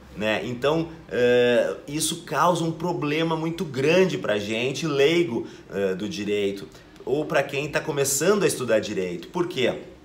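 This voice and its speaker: Against noticeable background noise and audible room echo, a man with a fairly high pitch talks at a fairly slow pace with lively intonation. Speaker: law teacher and exam-prep youtuber. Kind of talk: educational video lecture. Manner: casual, hesitant with fillers.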